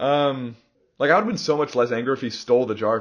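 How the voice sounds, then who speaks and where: Over a quiet background, a man talks at a fairly quick pace in a medium pitch. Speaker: podcast host. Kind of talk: casual chat.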